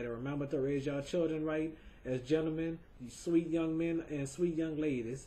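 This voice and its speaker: Fairly quick and somewhat breathy, a man's dark, mellow voice moves with fairly even intonation. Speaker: webcam show host. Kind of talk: video tribute monologue. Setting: home webcam recording. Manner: halting, repetitive.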